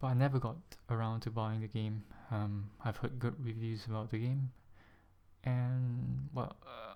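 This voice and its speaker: A soft-spoken man with a medium pitch, a dark, mellow tone, fairly even intonation and a fairly slow pace. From Singapore. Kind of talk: casual vlog talk to camera.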